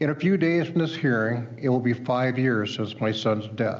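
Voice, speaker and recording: Recorded with audible room echo, a man of medium pitch speaks fairly slowly in a Midwestern US accent, with ordinary pitch variation. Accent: US Midwest. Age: 60s. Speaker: witness at a hearing, recovery advocate. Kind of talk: testimony.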